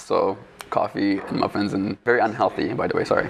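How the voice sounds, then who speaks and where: A man talks at a fairly quick pace while noticeable background noise plays behind him. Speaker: architecture student. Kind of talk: casual interview. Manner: halting.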